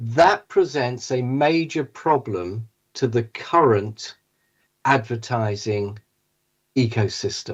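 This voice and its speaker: This speaker, with a British accent, talks very slowly, with long, frequent pauses and lively intonation. The voice is somewhat breathy, and the background is quiet. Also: man, medium pitch for a man. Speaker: tech company CEO, panel speaker. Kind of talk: conference presentation.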